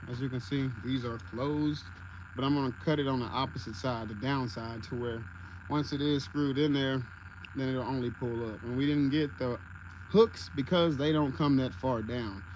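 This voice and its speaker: A man speaks at a moderate pace in a medium pitch, with ordinary pitch variation and audible room echo. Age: 20s. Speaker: content creator and DIY builder. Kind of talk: livestream tutorial and casual chat. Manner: casual, conversational.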